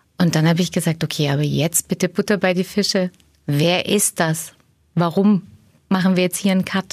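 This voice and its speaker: In a dry, close sound with no echo, a woman speaks at a moderate pace with a fairly low pitch and monotone, flat intonation. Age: 40s. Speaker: management consultant. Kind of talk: podcast interview.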